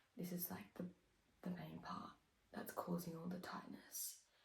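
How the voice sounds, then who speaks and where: In an Australian accent, a woman speaks at a moderate pace with audible room echo. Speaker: vlogger, triathlete. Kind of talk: casual vlog. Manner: quiet.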